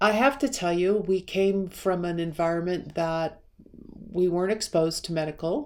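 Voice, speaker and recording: The speaker has a normal speaking voice and a moderate pace, with ordinary pitch variation. The recording is very clean, with a silent background. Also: woman, fairly low pitch for a woman. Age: 60s. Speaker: personal wellness video creator. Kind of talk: personal vlog monologue. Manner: conversational, meandering.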